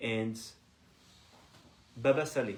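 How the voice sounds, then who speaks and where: A man with a French accent, amid audible room echo and noticeable background noise. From France, Paris. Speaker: Torah teacher. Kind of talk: religious lecture. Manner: halting.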